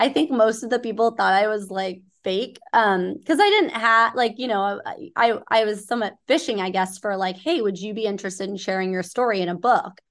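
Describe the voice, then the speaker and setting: An unremarkable speaking voice from a woman with an American accent, fairly high in pitch with ordinary variation, at a fairly quick pace with hardly any pauses, over a quiet background. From Southern California. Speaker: nonprofit board member and hospitality executive. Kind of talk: interview.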